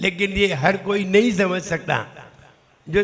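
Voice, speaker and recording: Raised and projected, a man's voice rings out at a high pitch. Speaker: Jain monk teaching pronunciation. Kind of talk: religious pronunciation class.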